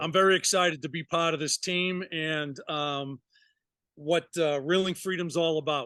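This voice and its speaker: A man with a Massachusetts accent has a bright, sharp tone and a fairly high pitch with fairly even intonation. The sound is dry and close with no echo against a quiet background. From Massachusetts, US. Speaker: retired firefighter and fishing charter captain. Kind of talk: casual interview.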